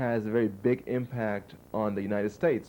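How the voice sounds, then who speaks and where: The voice has a dark, mellow tone and a German accent. It moves at a moderate pace with fairly even intonation. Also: man. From Germany and Liberia. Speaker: PhD graduate. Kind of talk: interview. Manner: halting, many fillers and repeats.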